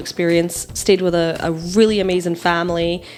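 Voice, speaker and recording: Someone speaks with an American accent while music plays in the background. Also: woman. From Scotland. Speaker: non-profit marketing director. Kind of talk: podcast interview.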